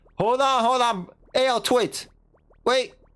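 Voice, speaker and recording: Very slow speech over music in the background. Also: man. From New York City. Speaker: streamer. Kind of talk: live game stream commentary. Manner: casual, animated.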